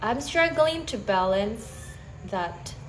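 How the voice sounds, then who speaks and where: Speaking at a fairly slow pace with an Indonesian accent, a woman uses a fairly high pitch with very wide pitch swings, and audible room echo is present. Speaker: stay-at-home mother, English learner. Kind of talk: casual chat. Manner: halting.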